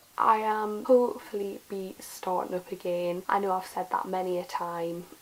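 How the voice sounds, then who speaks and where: The woman has a medium pitch and keeps to a moderate pace. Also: fairly even intonation. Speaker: fashion YouTuber and personal stylist. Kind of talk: casual vlog talk. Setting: filming at home. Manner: quiet.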